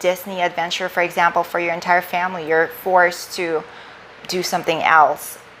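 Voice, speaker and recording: A woman speaks with a non-native accent. Noticeable background noise runs underneath. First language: not English. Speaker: life coach / live streamer, former finance worker. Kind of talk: livestream talk. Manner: casual, slightly halting.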